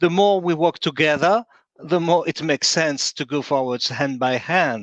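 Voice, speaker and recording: A man with a French accent speaks in a fairly high pitch and ordinary pitch variation, the sound dry and close with no echo over a quiet background. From France. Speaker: event organizer, secretary general. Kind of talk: closing remarks at virtual conference. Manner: halting, many hesitations.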